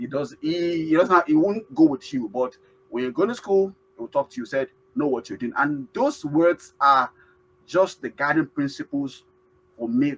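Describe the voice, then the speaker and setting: In a Nigerian accent, a man with a fairly high pitch and lively intonation speaks at a moderate pace, the sound dry and close with no echo. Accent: Nigerian (Yoruba) English. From Nigeria (Yoruba). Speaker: award-winning immigrant. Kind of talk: interview. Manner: halting, many fillers.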